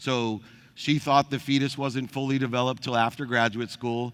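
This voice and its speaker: Here a man talks with an American accent. His tone is bright and sharp, and his pace is moderate. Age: 50s. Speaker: motivational speaker. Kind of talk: keynote speech.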